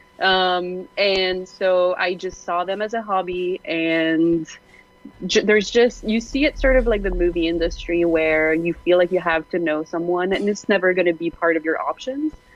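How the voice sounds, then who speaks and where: Someone with a Quebec accent talks at a moderate pace with ordinary pitch variation, and noticeable background noise can be heard. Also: woman, medium pitch for a woman. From Quebec, rural. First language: French. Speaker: game industry co-founder, panelist. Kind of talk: panel discussion.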